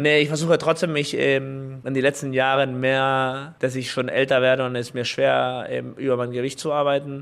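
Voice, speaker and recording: A man talks at a moderate pace. His pitch is medium, and his intonation is monotone and flat. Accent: Spanish. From Chile. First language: Spanish (speaking German). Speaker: professional volleyball player. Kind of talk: interview. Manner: halting, many fillers.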